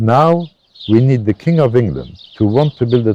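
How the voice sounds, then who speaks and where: A man speaks at a moderate pace in a dark, mellow tone. The sound is dry and close, with no echo. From Luxembourg. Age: 70s. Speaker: architect. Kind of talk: interview. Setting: architectural workshop on a farm. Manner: halting, repeats words.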